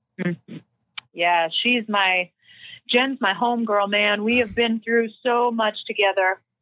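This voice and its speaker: With a Canadian accent, a woman talks fairly slowly in a plain, everyday voice, fairly high in pitch, with fairly even intonation and very even loudness. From Canada, British Columbia. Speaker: softball pitcher. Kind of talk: casual interview.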